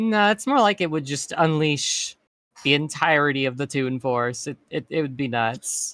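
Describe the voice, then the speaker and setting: At a moderate pace, a man with a fairly high pitch, a bright, sharp tone and ordinary pitch variation speaks in a dry sound with no echo over a quiet background. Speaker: streamer voicing a cartoon persona. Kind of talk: casual chat. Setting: online voice chat. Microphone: studio mic.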